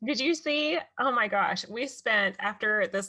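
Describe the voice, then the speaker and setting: With a Texas accent, a woman speaks at a fairly slow pace in a high pitch, her bright, sharp tone moving through very wide pitch swings. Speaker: podcast host. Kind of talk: casual interview chat.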